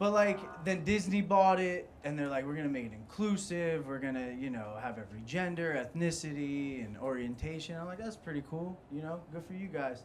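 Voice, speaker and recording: An American man speaks at a fairly quick pace with hardly any pauses, his fairly high pitch moving in lively intonation. Noticeable background noise and audible room echo fill the recording. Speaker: stand-up comedian. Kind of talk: stand-up.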